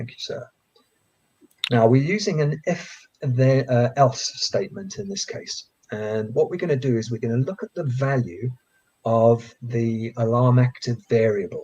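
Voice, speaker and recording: Here is a plain, everyday voice with lively intonation. The pace is fairly slow. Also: man, medium pitch for a man. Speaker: coding educator. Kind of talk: tutorial. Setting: live stream.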